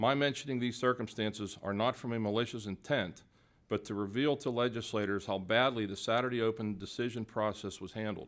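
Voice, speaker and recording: A plain, everyday voice with an American accent, fairly even intonation and a fairly quick pace, on a very clean recording with a silent background. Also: man, medium pitch for a man. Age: 60s. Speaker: hunting advocate testifying at hearing. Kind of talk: prepared testimony. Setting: public hearing. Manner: formal.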